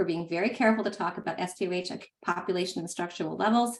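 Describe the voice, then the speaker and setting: Fairly even intonation marks this woman's voice, pitched in the medium range. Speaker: director of a health data standards project. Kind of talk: online meeting presentation. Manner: fast.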